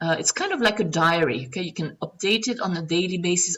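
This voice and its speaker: At a moderate pace, a woman with a non-native accent speaks at medium pitch. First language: not English. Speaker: online marketing coach. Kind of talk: tutorial. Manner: casual, frequent fillers.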